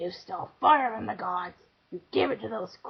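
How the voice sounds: The text is delivered in a natural reading voice.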